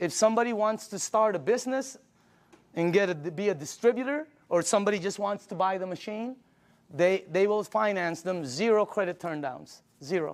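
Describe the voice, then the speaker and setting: A man at a high pitch and a fairly quick pace, with an animated tone and ordinary pitch variation. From Philippines. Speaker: product presenter. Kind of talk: sales pitch. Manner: animated, conversational with filler words.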